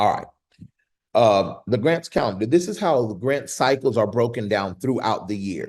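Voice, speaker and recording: The delivery is animated in tone, with lively intonation at a moderate pace. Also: man, medium pitch for a man. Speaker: grant writing teacher. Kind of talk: online class.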